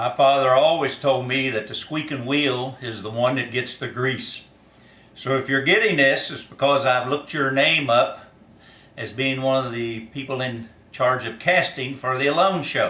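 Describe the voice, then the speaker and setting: With a Kentucky accent, a man talks at a moderate pace and medium pitch with fairly even intonation, with noticeable background noise and audible room echo. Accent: Kentucky Southern US. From US South, northern Kentucky. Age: 60s. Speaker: farmer and former reality show contestant. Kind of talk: casting application video monologue. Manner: hesitant with frequent fillers.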